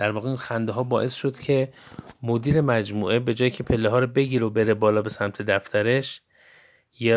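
This man has an ordinary speaking voice, medium in pitch, at a moderate pace with fairly even intonation. The recording is very clean with a silent background. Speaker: podcast host. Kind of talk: storytelling monologue.

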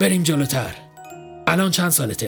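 In a put-on character voice, a man speaks fairly high with big pitch swings, a fairly bright tone and vocal fry, while faint music plays in the background.

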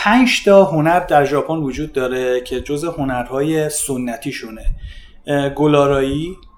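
A fairly high-pitched man at a fairly slow pace, with ordinary pitch variation and noticeable background noise. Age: 40s. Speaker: fitness coach and judoka. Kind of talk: casual chat.

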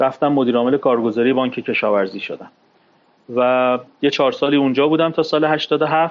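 The man has a normal speaking voice at a medium pitch. His intonation is fairly even and his pace moderate. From Iran, Tehran (Shemiran). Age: 40s. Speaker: former stockbroker and capital market expert. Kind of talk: interview, personal testimony. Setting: studio.

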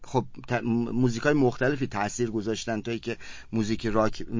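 A man is speaking. His pace is very fast. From Iran, Kerman. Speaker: rock musician. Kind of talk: interview.

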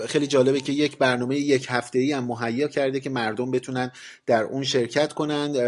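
Over noticeable background noise, a man speaks at a very fast pace. His medium-pitched voice stays monotone and flat. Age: 40s. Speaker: podcast host on science and astronomy. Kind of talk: solo podcast monologue, semi-scripted explainer.

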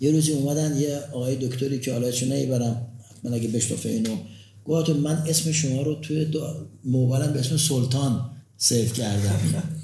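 A somewhat breathy voice with a dark, mellow tone holds very even loudness against audible room echo. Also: man, medium pitch for a man, moderate pace. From Tehran, Iran. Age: 60s. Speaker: pharmaceutical company founder and university professor. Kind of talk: interview. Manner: energetic.

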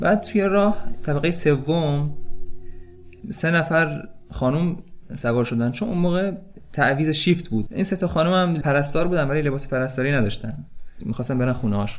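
A man's fairly high voice with lively intonation, a moderate pace, long, frequent pauses and audible room echo. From Tehran, Iran. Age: 30s. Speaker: volunteer hospital worker. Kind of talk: storytelling.

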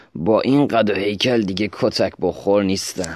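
Putting on a raspy character voice, a man speaks at a fairly low pitch with ordinary pitch variation. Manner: tense, defiant.

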